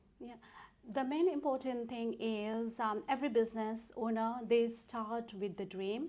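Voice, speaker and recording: At a fairly slow pace, a woman with a Nepali accent speaks at a fairly high pitch, her tone dark and mellow and her pitch variation ordinary. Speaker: tax accountant and entrepreneur. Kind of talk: interview.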